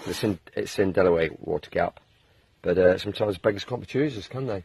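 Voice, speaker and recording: A man talks at a very fast pace in a fairly low pitch. His voice is somewhat breathy, with ordinary pitch variation. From England. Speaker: long-distance hiker, video blogger. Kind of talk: casual video diary.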